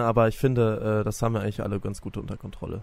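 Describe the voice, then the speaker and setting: A man speaks very fast, his voice sitting fairly low. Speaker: fitness trainer apprentice. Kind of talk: casual interview.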